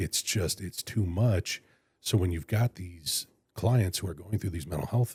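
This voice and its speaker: On a very clean recording with a silent background, a man with a very deep, low pitch and a dark, mellow tone speaks at a moderate pace, somewhat breathy, with ordinary pitch variation. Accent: American. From California (Fresno). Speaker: public defender and county attorney candidate. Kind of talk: interview. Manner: halting.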